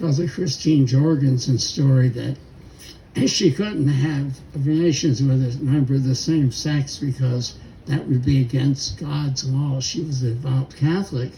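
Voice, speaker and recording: At a fairly slow pace, a man of medium pitch speaks somewhat breathily, with a dark, mellow tone and fairly even intonation. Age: 80s+. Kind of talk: memorial speech.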